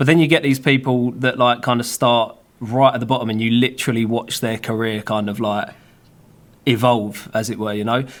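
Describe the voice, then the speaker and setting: With a British accent, a man talks at a fairly quick pace in a medium pitch with fairly even intonation. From UK. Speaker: filmmaker and YouTuber. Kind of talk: casual chat. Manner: casual, filler-heavy.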